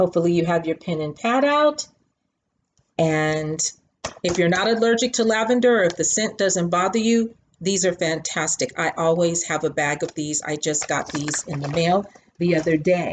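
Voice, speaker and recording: In a plain, everyday voice, the speaker talks at a moderate pace with lively intonation. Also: woman, fairly low pitch for a woman. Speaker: crochet and knitting vlogger. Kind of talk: casual show-and-tell tutorial.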